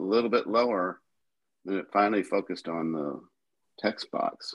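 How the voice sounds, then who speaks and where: A man speaks in a plain, everyday voice at a fairly low pitch. His pace is moderate and his pitch variation ordinary. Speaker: caller.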